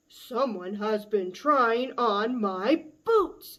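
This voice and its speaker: In a put-on character voice, a woman speaks very slowly, gruff and booming at a fairly high pitch. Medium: read story.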